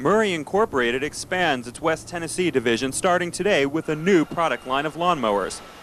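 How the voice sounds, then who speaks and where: A man's fairly high, lively voice at a fairly quick pace over noticeable background noise. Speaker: TV news reporter. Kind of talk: TV news report.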